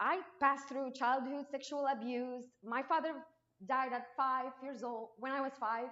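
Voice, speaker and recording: A woman with a Moroccan accent speaks in a high, bright and sharp voice at a fairly slow pace. Her intonation stays fairly even, and room echo is audible. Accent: non-native English, Moroccan. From Morocco. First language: Arabic. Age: 20s. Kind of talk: testimony. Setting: church, unamplified, speaking to congregation. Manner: halting, with frequent restarts; trying to speak louder.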